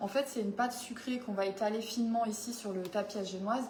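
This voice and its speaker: Fairly quick and fairly high-pitched, a woman speaks with fairly even intonation amid audible room echo and noticeable background noise. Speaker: home baking demonstrator. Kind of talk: live cooking demo chat. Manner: casual, hesitant.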